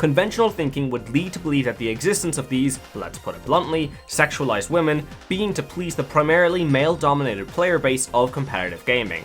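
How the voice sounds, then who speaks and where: Backed by music, a man with an Irish accent talks fairly quickly at a fairly high pitch, with lively intonation. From Ireland. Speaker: gaming video essayist. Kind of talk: video essay narration.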